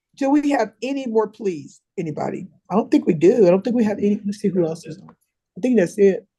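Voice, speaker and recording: A woman talks at a very fast pace at a medium pitch, her dark, mellow tone somewhat breathy, with lively intonation and big swings in loudness. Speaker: judge. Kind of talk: court proceedings on video call. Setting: video call.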